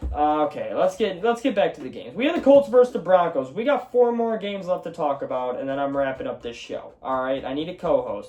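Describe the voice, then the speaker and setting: Over noticeable background noise, a man with a high pitch speaks at a very fast pace in an animated tone, his pitch swinging very widely. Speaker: sports podcast host. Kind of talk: solo sports talk show. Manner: casual, profane, animated.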